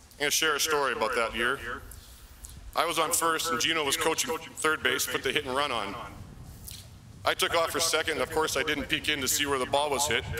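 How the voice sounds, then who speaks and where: Noticeable background noise fills the recording. Through it, a man talks at a very fast pace. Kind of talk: acceptance speech. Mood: warm, humorous storytelling. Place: stage. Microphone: podium.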